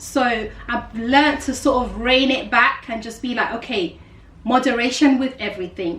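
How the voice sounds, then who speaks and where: A high-pitched woman's voice in a South London accent, at a moderate pace with ordinary pitch variation and big swings in loudness, amid noticeable background noise and audible room echo. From South London, England. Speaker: life coach and YouTuber. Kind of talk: casual vlog monologue.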